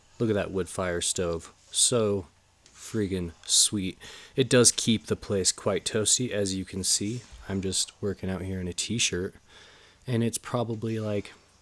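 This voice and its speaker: In a normal speaking voice, the speaker goes at a fairly slow pace with fairly even intonation, recorded very cleanly against a silent background with a dry, close sound and no echo. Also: man, fairly low pitch for a man. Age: 30s. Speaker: powerlifting vlogger. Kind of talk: casual vlog voiceover. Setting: home gym in cabin. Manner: casual, conversational.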